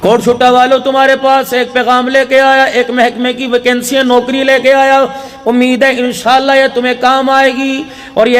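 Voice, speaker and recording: With music in the background, a man speaks at an extremely high pitch in a passionate tone yet with monotone, flat intonation. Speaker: Islamic preacher (maulana). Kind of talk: emotional religious sermon (bayan). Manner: emotional, passionate, oratorical.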